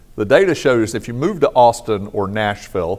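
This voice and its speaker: At a medium pitch, a man talks in an ordinary speaking voice. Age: 60s. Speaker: economic consultant and conference speaker. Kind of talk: conference keynote talk. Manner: casual, conversational.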